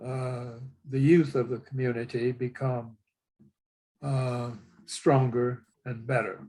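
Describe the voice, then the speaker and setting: Somewhat breathy and dark, mellow in tone, a man at a medium pitch speaks very slowly in monotone, flat intonation, with long, frequent pauses. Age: 90s. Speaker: retired coach. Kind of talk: interview conversation. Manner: formal.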